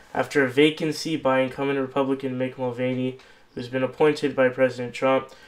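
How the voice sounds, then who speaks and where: Very fast and monotone, a man talks with flat intonation. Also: medium pitch for a man. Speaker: political interview host. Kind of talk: interview questions.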